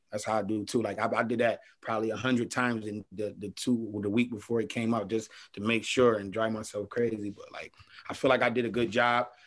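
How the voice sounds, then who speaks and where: In an American accent, a man with a medium pitch speaks at a fairly quick pace with monotone, flat intonation. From Buffalo, New York. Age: 20s. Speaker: rapper. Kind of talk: casual interview chat. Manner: halting, repeats words.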